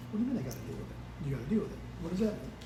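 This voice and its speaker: A man talks at a very fast pace. Noticeable background noise and audible room echo are present. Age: 70s. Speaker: church member. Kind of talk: testimony. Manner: animated.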